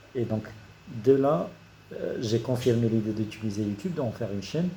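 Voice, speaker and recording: A man talks in a medium-pitched, somewhat breathy voice with a dark, mellow tone. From Morocco, Casablanca. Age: 30s. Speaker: engineer and YouTuber. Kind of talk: career talk to camera. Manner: hesitant, many fillers.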